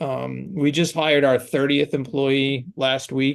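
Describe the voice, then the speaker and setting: A man with a slight New York accent, fairly high in pitch, at a very slow pace. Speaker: branding agency founder. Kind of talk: podcast interview.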